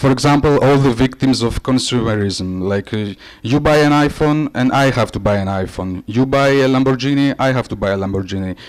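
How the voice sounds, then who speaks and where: This man speaks at a fairly quick pace in a Greek accent, his pitch medium with ordinary variation. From Greece or Cyprus. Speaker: creative director and conference presenter. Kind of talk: conference presentation. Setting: conference stage with audience. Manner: hesitant, many fillers.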